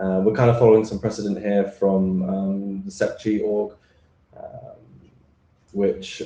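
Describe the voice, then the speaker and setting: In a British accent, a man speaks at a fairly low pitch with a dark, mellow tone and monotone, flat intonation. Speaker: standards draft author presenter. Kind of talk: technical presentation. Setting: remote video call into meeting. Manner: hesitant, many fillers.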